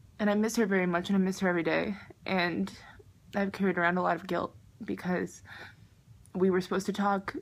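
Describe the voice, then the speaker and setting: A woman with an American accent speaks at a very fast pace and a medium pitch, in a monotone, flat intonation. Her speech has long, frequent pauses. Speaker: vlogger. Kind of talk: personal vlog confession.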